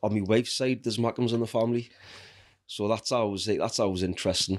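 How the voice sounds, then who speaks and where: This man speaks with a Geordie accent at medium pitch, keeping his loudness very even and his intonation fairly even. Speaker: falconer and outdoor educator. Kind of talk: casual chat.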